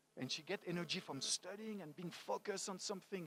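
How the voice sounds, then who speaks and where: A man speaks with a French accent in a high voice. His tone is animated and his pace fairly quick. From France, Paris. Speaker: motivational speaker. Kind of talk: talk to a live audience.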